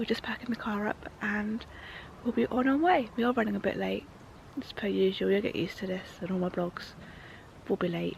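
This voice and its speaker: Delivered at a fairly quick pace in an English accent, the speech is broken by long, frequent pauses. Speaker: motorsport vlogger. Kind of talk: vlog. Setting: outdoors.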